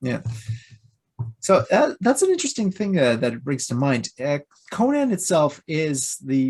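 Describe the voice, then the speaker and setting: A fairly high-pitched man with a Quebec accent speaks fairly slowly, his pitch swinging very widely. He leaves long, frequent pauses. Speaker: YouTube reviewer. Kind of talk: casual interview chat.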